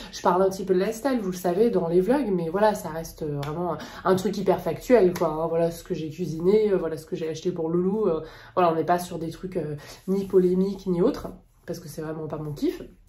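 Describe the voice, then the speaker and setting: Audible room echo surrounds a woman speaking at a fairly low pitch with ordinary pitch variation. She talks at a fairly quick pace, with big swings in loudness. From France. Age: 30s. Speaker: plant YouTuber. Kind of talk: casual vlog talk. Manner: soft-spoken; hesitant, many fillers.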